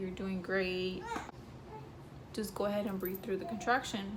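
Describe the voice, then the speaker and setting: Noticeable noise sits behind a woman whose medium-pitched delivery stays monotone and flat. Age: young. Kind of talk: casual story time to camera.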